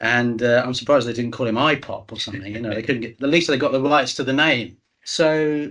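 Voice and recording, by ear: Someone is reading aloud in a natural voice with ordinary pitch variation, over a quiet background.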